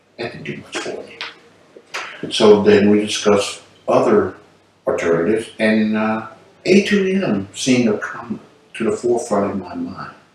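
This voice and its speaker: Background noise is noticeable as a man speaks at a fairly low pitch with ordinary pitch variation. His loudness swings widely, and he takes long, frequent pauses. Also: moderate pace. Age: 60s. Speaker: patient, military retiree. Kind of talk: testimony. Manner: casual, conversational.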